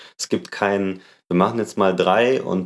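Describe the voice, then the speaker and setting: A man with a fairly low pitch speaks at a moderate pace, his intonation lively. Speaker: podcast host and organisational consultant. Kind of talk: casual interview.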